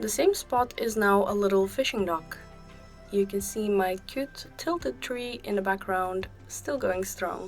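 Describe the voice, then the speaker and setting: Over music in the background, a woman speaks fairly slowly at a medium pitch with ordinary pitch variation. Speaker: video game builder. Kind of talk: casual gaming voiceover. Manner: friendly, cutesy.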